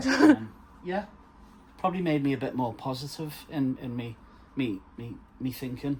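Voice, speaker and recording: A man speaks with a Liverpool accent and a medium pitch. He keeps a moderate pace, with long, frequent pauses. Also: ordinary pitch variation. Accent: Scouse. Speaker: shop owner. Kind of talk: interview answer. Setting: shop.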